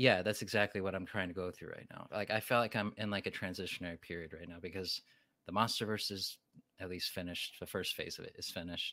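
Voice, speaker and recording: A man speaks very fast with a very deep, low pitch, a bright, sharp tone and fairly even intonation, in a very clean recording against a silent background. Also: big swings in loudness. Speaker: YouTube creator reviewing giant monster films. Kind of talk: casual interview chat. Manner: thoughtful with long pauses.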